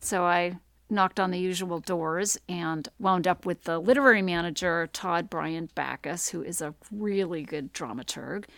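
A woman with an American accent has an ordinary speaking voice, fairly low pitch and ordinary pitch variation, talking at a moderate pace with hardly any pauses. The sound is dry and close with no echo, on a very clean recording with a silent background. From Maine, US (Mexico, mill town). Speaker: playwright and author. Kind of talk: casual interview chat.

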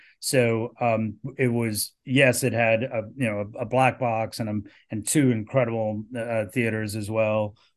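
Speaking at a fairly slow pace, a man keeps a monotone, flat intonation. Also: medium pitch for a man. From South Africa. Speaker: film producer. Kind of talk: interview. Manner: halting, many fillers.

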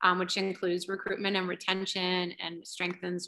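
Against a quiet background, a woman with an American accent and a bright, sharp tone speaks at a fairly quick pace and medium pitch. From US Midwest, Ohio. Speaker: high school journalism teacher. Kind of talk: interview.

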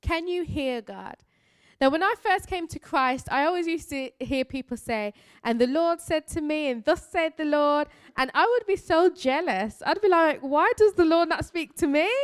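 A woman speaks with a Birmingham accent at a moderate pace. Her voice is high, with lively intonation. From Birmingham, England. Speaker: missionary preacher. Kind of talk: sermon. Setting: church.

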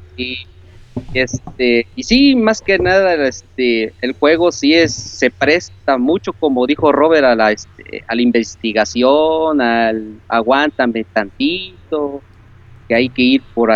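At a very slow pace, a man with a medium pitch talks using lively intonation. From Córdoba, Veracruz, Mexico. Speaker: video game fan caller. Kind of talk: casual chat. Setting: Skype call.

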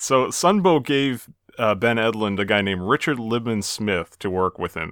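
A man speaks with an American accent and lively intonation. He has an ordinary speaking voice with a fairly low pitch. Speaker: podcast co-host and moderator. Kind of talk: casual chat.

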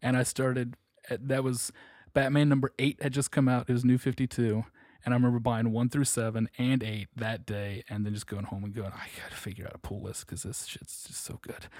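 With a plain, everyday voice, a man talks at a fairly quick pace and medium pitch, his intonation fairly even but his loudness swinging widely, in a dry, close recording with no echo and a silent, very clean background. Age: 20s. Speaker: comic store employee. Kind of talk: casual interview.

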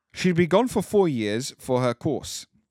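Over a silent background in a very clean recording, a man speaks at a moderate pace. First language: not English. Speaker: podcast co-host. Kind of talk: casual chat podcast. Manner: joking, informal.

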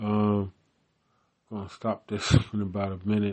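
A man talks at a fairly slow pace with an American accent. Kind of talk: casual solo rambling, mic test. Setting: home recording with small mic. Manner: rambling, filler-heavy.

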